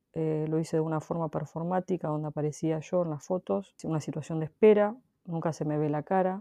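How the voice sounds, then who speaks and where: A dark, mellow voice moves at a fairly quick pace with fairly even intonation over a quiet background. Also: woman. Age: 40s. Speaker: photographer. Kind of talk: interview. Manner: halting.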